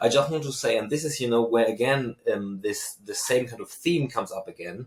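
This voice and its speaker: A man with a German accent talks at a fairly quick pace and a medium pitch. His loudness swings widely, with ordinary pitch variation. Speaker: university researcher and lecturer. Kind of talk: podcast interview. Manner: hesitant with fillers.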